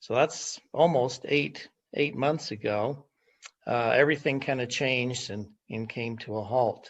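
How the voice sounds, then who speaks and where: Over a quiet background, a man with a medium pitch speaks at a fairly slow pace with ordinary pitch variation. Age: 60s. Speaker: testimonial giver. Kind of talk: testimony. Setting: video call.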